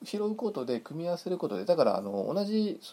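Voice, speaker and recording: A man talking at a fairly quick pace. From Hokkaido, Japan. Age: 40s. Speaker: podcast host. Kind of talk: casual monologue. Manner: halting, many fillers.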